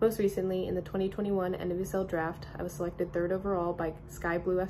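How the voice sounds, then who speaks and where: Over noticeable background noise, a woman with an American accent speaks very fast in a fairly low pitch, her intonation monotone and flat. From Durham, North Carolina. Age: 20s. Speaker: professional soccer player. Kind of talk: promotional statement to camera. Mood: upbeat, enthusiastic. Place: home room. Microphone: phone near.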